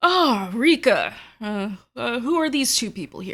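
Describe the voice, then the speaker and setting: A female-sounding voice, fairly high in pitch, performs a put-on character voice at a fairly slow pace. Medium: actual play.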